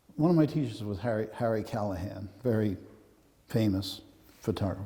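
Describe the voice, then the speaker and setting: A man's dark, mellow tone moves at a fairly quick pace with ordinary pitch variation. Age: 70s. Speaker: photographer. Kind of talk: gallery talk. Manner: halting.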